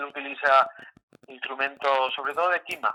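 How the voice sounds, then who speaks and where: Here a man talks with a fairly high pitch at a moderate pace. His intonation stays monotone and flat. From Canary Islands, Tenerife (Tegueste). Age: 70s. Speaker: instrument maker. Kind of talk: interview. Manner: halting.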